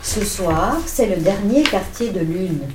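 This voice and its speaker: A woman speaks very slowly with very wide pitch swings, with audible room echo and noticeable background noise. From Switzerland, Vevey. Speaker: co-reader of a children's story. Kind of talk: reading aloud.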